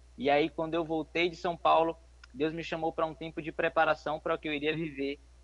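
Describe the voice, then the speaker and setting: A man has an unremarkable speaking voice with a fairly high pitch. He talks at a fairly quick pace. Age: 20s. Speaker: young missionary. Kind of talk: interview testimony; exhortation to listeners.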